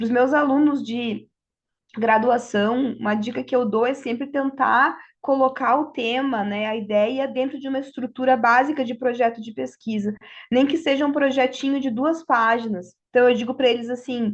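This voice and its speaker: With a Brazilian accent, a woman speaks at a high pitch and a moderate pace, her intonation fairly even. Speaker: law professor. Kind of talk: panel talk.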